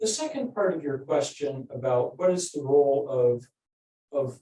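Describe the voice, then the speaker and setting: Somewhat breathy and dark, mellow in tone, a man's fairly high voice moves at a fairly slow pace. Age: 60s. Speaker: political science professor, book editor. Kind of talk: panel discussion answer. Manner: halting, many fillers.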